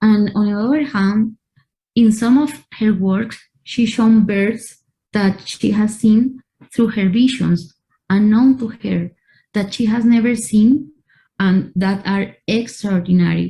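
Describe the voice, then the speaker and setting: Very slowly and with fairly even intonation, a woman with a non-native accent speaks in a fairly high, somewhat breathy voice with a dark, mellow tone. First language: Spanish. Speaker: art curator. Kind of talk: online talk and Q&A.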